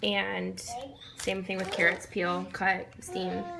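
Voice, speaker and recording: A woman is heard with noticeable background noise. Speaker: parent. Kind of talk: tutorial; casual chat. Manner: fast; casual, many fillers.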